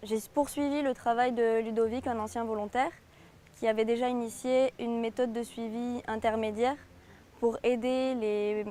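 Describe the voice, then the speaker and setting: In a fairly high pitch with a dark, mellow tone, a woman speaks at a fairly slow pace with monotone, flat intonation. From southern France. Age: 20s. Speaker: conservation volunteer. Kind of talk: interview testimony. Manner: hesitant, many fillers.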